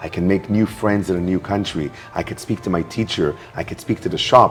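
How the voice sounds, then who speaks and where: With music in the background, a man talks using fairly even intonation. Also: fairly low pitch for a man, fairly quick pace. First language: not English. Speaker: networking expert and speaker. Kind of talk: interview.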